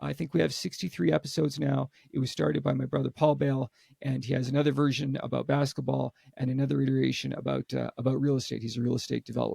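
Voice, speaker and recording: A man with a Canadian accent talking very fast, in a dry, close sound with no echo. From Canada. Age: 60s. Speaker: author. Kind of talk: interview. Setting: podcast. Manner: repeats words; animated.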